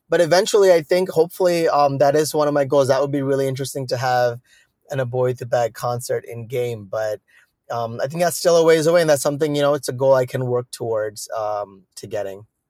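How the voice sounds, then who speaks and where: With an American accent, a man talks at a very fast pace in a fairly high voice with ordinary pitch variation. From South India and Chicago. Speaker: music producer. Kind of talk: interview.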